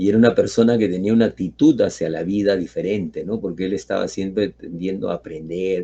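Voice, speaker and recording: With hardly any pauses, a man talks at a fairly quick pace in a fairly low pitch, using ordinary pitch variation and a dark, mellow tone. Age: 70s. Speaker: teacher. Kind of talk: lecture. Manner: halting.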